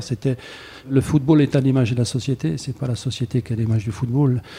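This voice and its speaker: A man with a dark, mellow tone talks at a fairly quick pace, his voice somewhat breathy. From France, Saint-Étienne. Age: 60. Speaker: former footballer turned lawyer. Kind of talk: interview. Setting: his office. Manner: hesitant, many fillers.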